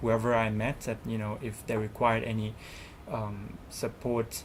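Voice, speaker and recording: Fairly slow speech with a Thai accent. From Thailand. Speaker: student representative. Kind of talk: interview. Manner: halting.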